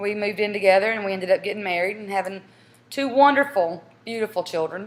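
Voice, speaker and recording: A woman speaks in a Southern US accent. Her pitch varies in an ordinary way. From South Carolina. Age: 40s. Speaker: mother in a family casting tape. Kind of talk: casting interview.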